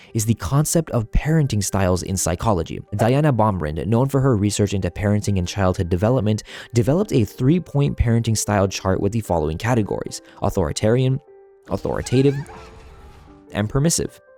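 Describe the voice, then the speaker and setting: A man with a dark, mellow tone at fairly low pitch, very fast pace and lively intonation. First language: not English. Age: 20s. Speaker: gaming video essayist. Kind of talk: scripted narration.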